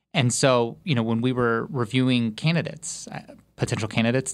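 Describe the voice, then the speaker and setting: On a very clean recording with a silent background, a man with an unremarkable speaking voice and medium pitch speaks at a fairly quick pace. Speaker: research interviewer. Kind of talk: interview conversation.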